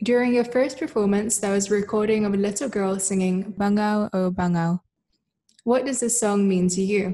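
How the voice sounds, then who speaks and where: Her voice is somewhat breathy with a dark, mellow tone and fairly even intonation, set against a quiet background. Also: moderate pace. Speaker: gallery moderator. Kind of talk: interview. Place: home room. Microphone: webcam.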